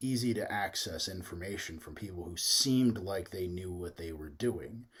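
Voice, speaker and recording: A man with an American accent talks at a fairly slow pace in a very deep, low pitch, his delivery somewhat breathy with lively intonation. The recording is very clean, with a silent background. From US Midwest. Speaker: youtuber. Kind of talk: casual monologue. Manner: slow, steady.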